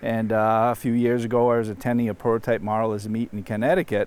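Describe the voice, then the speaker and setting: Against noticeable background noise, a man with a medium pitch talks at a fairly quick pace. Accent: Boston. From Massachusetts. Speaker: model railroader. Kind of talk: casual chat.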